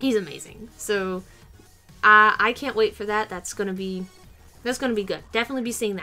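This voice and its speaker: A woman talks at a fairly quick pace with faint music in the background. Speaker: vlogger. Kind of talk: casual vlog chat. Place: home room. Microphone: webcam.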